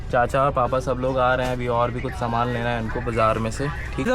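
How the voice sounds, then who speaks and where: A man talks at a moderate pace. Room echo is audible, along with noticeable background noise. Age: 20s. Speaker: vlogger. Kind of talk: family vlog. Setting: outdoors at vegetable market. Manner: animated.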